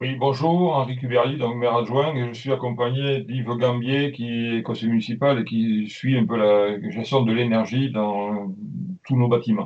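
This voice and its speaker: A man at a fairly slow pace, fairly even in intonation, in a southern French accent. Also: medium pitch for a man. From southern France, Aude near Toulouse. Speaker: deputy mayor. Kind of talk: webinar presentation. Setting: online webinar.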